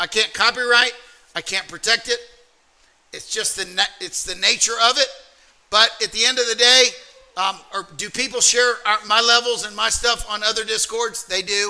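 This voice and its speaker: A man with an American accent speaks at an extremely high pitch in a raised, projected voice. He keeps a moderate pace with fairly even intonation. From US South, Alabama. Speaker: trading community co-owner. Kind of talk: livestream trading workshop talk.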